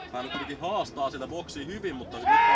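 A man at a moderate pace, with crowd noise in the background. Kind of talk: live sports commentary on a football match. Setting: outdoors at the pitch, commentating from the home ground.

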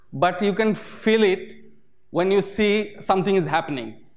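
A man with a Bengali accent, at a fairly slow pace. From Bangladesh. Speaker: OpenStreetMap community volunteer. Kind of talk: conference talk. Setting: stage with audience. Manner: hesitant, many filler sounds. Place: hall.

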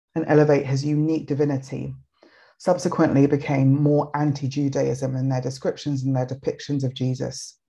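Against a quiet background, a woman with a very deep, low pitch speaks at a fairly quick pace, her tone dark and mellow and somewhat breathy. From Nigeria. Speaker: writer and think tank director; webinar speaker. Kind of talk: presentation talk. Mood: warm, engaged. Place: home room. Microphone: webcam.

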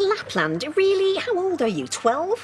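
A woman's put-on character voice, extremely high-pitched with very wide pitch swings, at a fairly slow pace over faint background noise.

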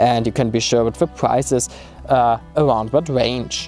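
A man with a German accent, dry sound with no echo, and faint music in the background. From Germany. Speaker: travel vlogger. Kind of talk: casual tutorial talk. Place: open country.

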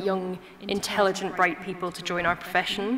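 Noticeable background noise behind a woman speaking at a moderate pace in a flat monotone. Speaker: doctor hosting the event. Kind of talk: event introduction speech. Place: hall. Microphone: podium.

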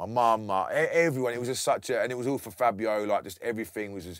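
A man speaks very fast with a southern English accent and ordinary pitch variation. The sound is dry with no echo, over a quiet background. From Bedford, England; England. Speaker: DJ and music producer; DJ. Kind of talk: casual interview. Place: studio.

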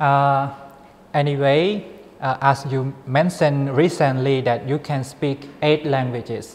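Speaking with a Thai accent, a man delivers his words at a fairly slow pace, with fairly even intonation and a fairly high pitch. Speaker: graduate student interviewer. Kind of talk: interview. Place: studio. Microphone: lapel.

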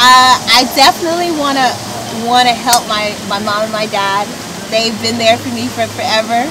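Over noticeable background noise, a woman speaks at a fairly brisk rate. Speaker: pageant winner and student. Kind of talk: casual interview. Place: garden. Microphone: camera far.

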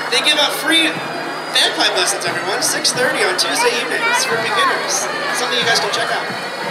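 Music plays in the background as the speaker moves at a fairly quick pace. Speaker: parade announcer. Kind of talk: commentary. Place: street.

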